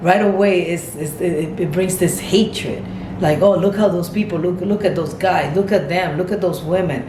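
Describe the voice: With audible room echo, a woman speaks at a fairly low pitch in a slightly mellow tone, using ordinary pitch variation.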